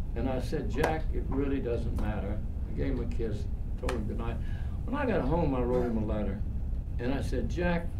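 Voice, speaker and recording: Long, frequent pauses over loud background noise. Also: man, moderate pace. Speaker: storyteller speaking to students. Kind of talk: personal storytelling talk. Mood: warm, reflective, earnest. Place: hall.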